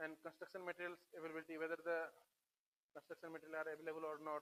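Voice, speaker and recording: A man speaks very fast in a fairly high, flat monotone, with a dry, close sound and no echo. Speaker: engineer lecturer on flood management. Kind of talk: lecture. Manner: hesitant with fillers.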